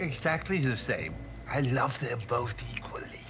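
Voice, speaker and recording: A put-on character voice at a low-to-middle pitch moves at a moderate pace. Loud background noise sits behind it. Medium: short film.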